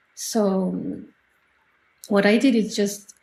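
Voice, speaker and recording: A woman with a French accent speaks in a dark, mellow tone that is somewhat breathy, her intonation fairly even. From France, Normandy. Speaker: artist. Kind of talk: interview. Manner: halting.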